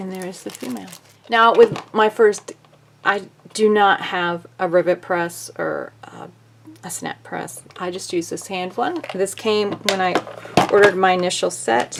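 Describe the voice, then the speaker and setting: Amid noticeable background noise, a woman speaks fairly slowly at medium pitch, with ordinary pitch variation and big swings in loudness. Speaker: sewing crafter. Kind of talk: tutorial. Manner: casual.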